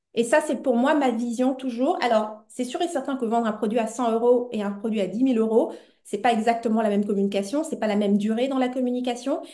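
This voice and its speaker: There is audible room echo around a woman with a high pitch and a dark, mellow tone. She speaks at a fairly quick pace. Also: ordinary pitch variation. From Belgium, Brussels. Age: 40s. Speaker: entrepreneur and business coach. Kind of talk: interview conversation. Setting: podcast.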